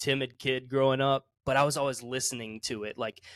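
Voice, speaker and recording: This man has a fairly high pitch and a Southern US accent. His intonation is fairly even, and the recording is very clean with a silent background. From US South, South Carolina. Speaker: musician. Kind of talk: casual chat.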